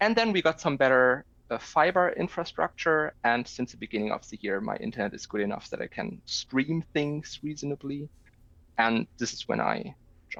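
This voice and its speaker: A man with a German accent speaks at a fairly high pitch with very wide pitch swings, recorded with a dry, close sound and no echo. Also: moderate pace. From Germany. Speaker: video game player. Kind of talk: casual chat.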